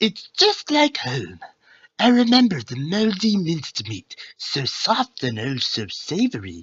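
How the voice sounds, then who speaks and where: In a put-on character voice pitched in the middle range, the speaker goes at a fairly slow pace. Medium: read story. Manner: quaintly formal.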